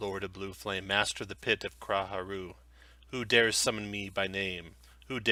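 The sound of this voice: With fairly even intonation, someone reads in an unforced reading voice.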